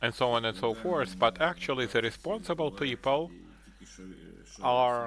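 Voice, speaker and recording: A man with a Ukrainian accent talks at a fairly slow pace and medium pitch, his intonation lively. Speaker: conference presenter. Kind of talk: conference presentation. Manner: halting, many hesitations.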